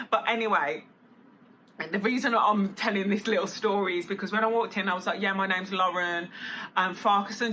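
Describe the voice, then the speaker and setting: Noticeable background noise sits behind a woman speaking at a medium pitch with fairly even intonation. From Birmingham, England. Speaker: vlogger. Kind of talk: casual vlog talk. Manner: chatty, filler-heavy.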